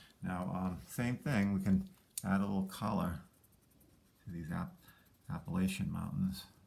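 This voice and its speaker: A man with a fairly low pitch talks at a moderate pace and lively intonation. He leaves long, frequent pauses. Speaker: teacher. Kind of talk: tutorial. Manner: casual, hesitant with fillers.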